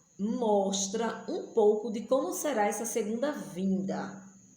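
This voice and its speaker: A woman speaks with lively intonation at a medium pitch. There is audible room echo. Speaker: missionary and Bible teacher. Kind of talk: Bible study teaching.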